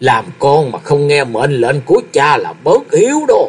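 It's a put-on character voice with a slightly husky edge. The pitch swings widely. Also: man, fairly high pitch for a man, fairly slow pace.

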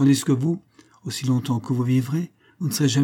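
Here the speaker is reading aloud in a natural voice. The words come out evenly from the page.

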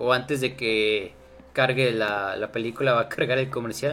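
Music plays in the background as a man speaks. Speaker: podcast host. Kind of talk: casual chat. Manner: animated. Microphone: mic problem.

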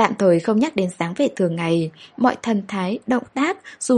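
Delivered in an unforced reading voice, the speech carries lively intonation.

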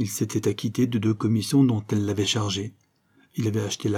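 The reading voice sounds natural and the intonation is fairly level. Little can be heard behind it.

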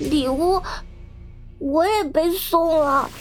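Clear background noise accompanies a woman doing a shaky put-on character voice at an extremely high pitch. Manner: trembling, frightened.

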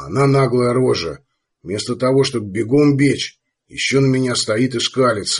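Here is plain reading aloud with fairly even intonation. The background is quiet.

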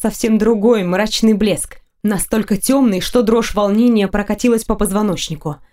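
Natural-voiced reading aloud, intonation fairly even

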